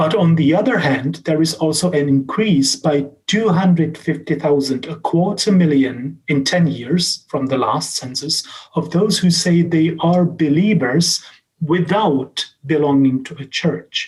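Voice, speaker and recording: A man with a Czech accent, fairly high pitch, ordinary pitch variation and a fairly slow pace. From Czech Republic. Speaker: professor and social scientist. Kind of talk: lecture. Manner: halting, many fillers and restarts.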